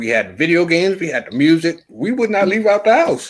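Speaking at a moderate pace in a high pitch, a man sounds animated, his voice making very wide pitch swings. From New York (Yonkers). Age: 40s. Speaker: podcast guest. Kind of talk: casual chat. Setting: outdoors on a patio.

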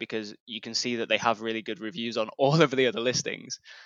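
A man with an ordinary speaking voice, medium in pitch, fairly quick in pace, with fairly even intonation. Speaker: newsletter founder. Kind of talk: casual interview chat.

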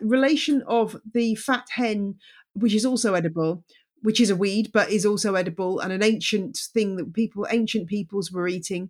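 A woman with a British accent, fairly high-pitched, at a moderate pace. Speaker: journalist and podcast host. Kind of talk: casual interview.

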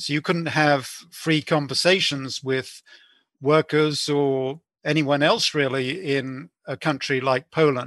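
Against a quiet background, a dry, close sound with no echo carries a voice with a British accent at a very slow pace. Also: man, fairly high pitch for a man, fairly even intonation. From UK, born in Belfast. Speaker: author and historian, former journalist. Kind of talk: interview. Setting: podcast interview. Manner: hesitant, many fillers.

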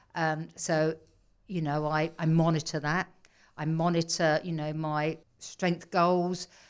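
A woman with an English accent speaks very slowly in a very deep, low, monotone voice with flat intonation on a very clean recording with a silent background. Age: 60s. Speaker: personal trainer and wellness coach. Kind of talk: interview. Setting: studio.

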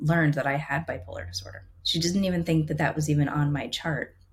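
A very deep, low-pitched woman's voice, somewhat breathy, with fairly even intonation. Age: 40s. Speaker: photographer. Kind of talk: casual chat.

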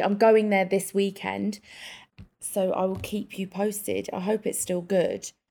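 A woman with an English accent, dark and mellow in tone, at a medium pitch and moderate pace, monotone and flat in intonation, on a very clean recording with a silent background. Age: 30s. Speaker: podcast co-host. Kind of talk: casual chat.

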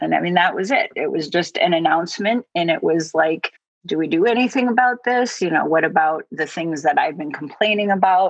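A woman with a normal speaking voice, medium in pitch, fairly quick, with lively intonation. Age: 50s. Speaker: hospice nurse. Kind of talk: testimony.

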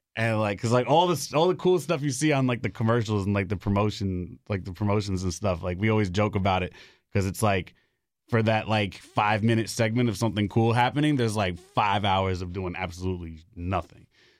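Fairly quick speech from a man with a fairly low pitch, in a New York accent. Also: ordinary pitch variation, very clean recording, silent background. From Bronx, New York City. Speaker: DJ and student radio host. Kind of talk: casual interview. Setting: studio.

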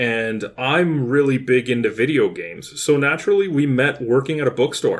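With a Canadian accent, a man in a plain, everyday voice speaks at a fairly high pitch with lively intonation. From Kitchener-Waterloo, Ontario, Canada. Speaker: podcast co-host, video game enthusiast. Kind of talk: casual chat.

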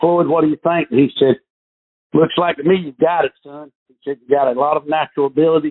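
Speaking with a Southern US accent, this man keeps up a fairly quick pace. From North Carolina. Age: 50s. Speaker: professional golfer. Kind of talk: interview.

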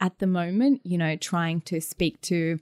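A woman talks with an Australian accent and a fairly low pitch. The sound is dry and close with no echo, on a very clean recording with a silent background. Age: 20s. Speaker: DJ and music producer. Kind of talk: interview.

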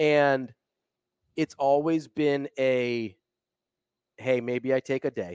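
A medium-pitched man at a very slow pace, with fairly even intonation and long, frequent pauses. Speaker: sports podcast host. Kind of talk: casual banter.

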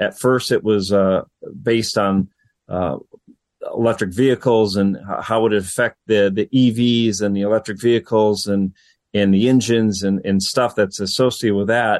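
A man with a plain, everyday voice, fairly low in pitch, at a moderate pace with fairly even intonation and very even loudness, dry and close with no echo. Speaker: radio industry government affairs official. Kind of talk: interview.

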